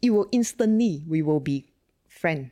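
Over a quiet background with dry, close sound and no echo, a woman speaks at a moderate pace with a fairly low pitch, a dark, mellow tone and very wide pitch swings. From Malaysia, Sungai Petani. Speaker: tech entrepreneur. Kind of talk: interview.

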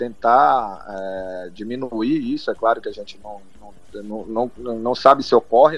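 This man's voice sits at a medium pitch. He talks at a fairly slow pace. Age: 30s. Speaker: football club commercial director. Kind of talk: interview. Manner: halting.

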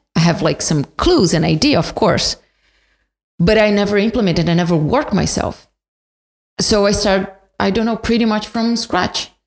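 A woman speaks with a Portuguese accent at a medium pitch and a moderate pace. Her pitch varies in an ordinary way, her loudness stays very even, and she takes long, frequent pauses. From Brazil, São Paulo. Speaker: podcast guest, immigrant. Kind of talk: casual chat.

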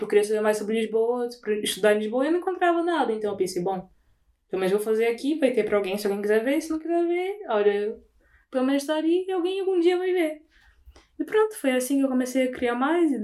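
The speech races along at a very fast pace in a dark, mellow tone, with very wide pitch swings. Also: woman, high pitch for a woman. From Brazil, Belém (Pará). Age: 20s. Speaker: recent communication sciences graduate. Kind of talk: casual chat.

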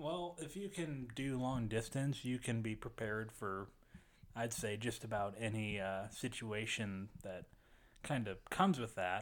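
A plain, everyday voice from a man, medium-pitched, its pitch varying in an ordinary way. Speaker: sound engineer. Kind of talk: casual chat.

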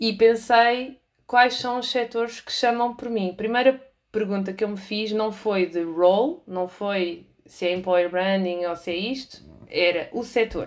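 Her pitch is fairly high, with ordinary variation. The woman talks at a fairly slow pace. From Portugal, moved between cities. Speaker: employer branding specialist and trainer. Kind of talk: interview. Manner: halting, many fillers.

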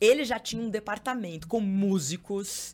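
Medium-pitched woman on a very clean recording against a silent background. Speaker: TV journalist and presenter. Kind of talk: casual chat. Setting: studio.

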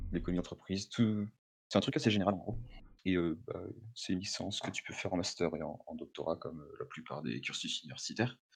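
A man with very deep, low pitch speaks with lively intonation. His pace is fairly quick. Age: young. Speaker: university student. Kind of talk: casual chat. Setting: call.

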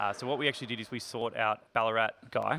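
A man at medium pitch with an Australian accent, fairly quick, with fairly even intonation. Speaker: distillery owner, former teacher. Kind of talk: casual interview.

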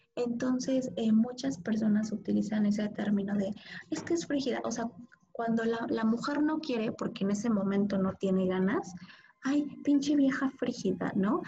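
This is a woman with a plain, everyday voice. Her pitch is fairly high. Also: ordinary pitch variation, moderate pace. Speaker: podcast co-host. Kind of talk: casual chat.

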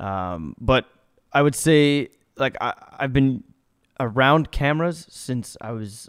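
An unremarkable speaking voice with lively intonation comes through in a dry, close sound with no echo. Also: man. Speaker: podcast host. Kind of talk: casual chat. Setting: studio with cameras.

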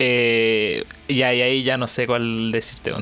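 The voice belongs to a man. Its pitch is medium. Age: 20s. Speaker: student. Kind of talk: casual chat.

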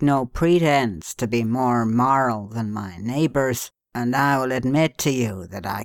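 Plain reading aloud with ordinary pitch variation is set against a quiet background.

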